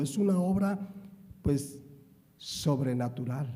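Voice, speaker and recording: Amid audible room echo, a man with a dark, mellow tone speaks with lively intonation. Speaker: pastor. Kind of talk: sermon.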